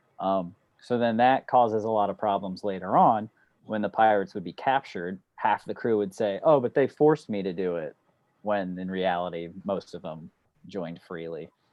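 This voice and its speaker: Using a normal speaking voice with an American accent, a man with a fairly low pitch talks at a moderate pace with ordinary pitch variation. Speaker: student of underwater archaeology. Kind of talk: casual Q&A talk. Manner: relaxed, informal.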